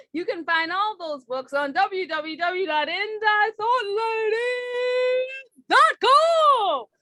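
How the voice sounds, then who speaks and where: A woman performs a put-on character voice at an extremely high pitch. She drags it out at a very slow pace. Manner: salesy, pitchy.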